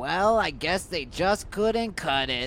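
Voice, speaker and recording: Over clear background noise, a put-on character voice at middle pitch speaks at a fairly slow pace. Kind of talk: showman announcer voice. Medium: audio drama.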